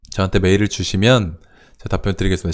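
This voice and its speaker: A man with ordinary pitch variation on a very clean recording with a silent background. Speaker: real estate investment livestream host. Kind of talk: live stream Q&A with chat. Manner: fast.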